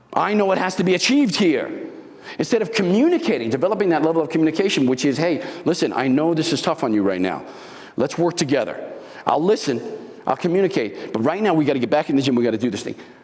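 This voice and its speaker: Over noticeable background noise, a man talks at a very fast pace in an animated tone. His high pitch swings very widely. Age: 70s. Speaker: motivational speaker, former bodybuilder. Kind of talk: motivational talk. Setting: live talk with audience.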